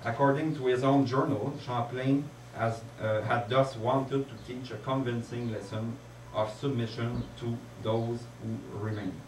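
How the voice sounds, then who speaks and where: A man with a strong French accent speaks fairly slowly at a medium pitch, his intonation fairly even. Audible room echo and noticeable background noise fill the recording. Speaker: conference speaker. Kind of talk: lecture. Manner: halting.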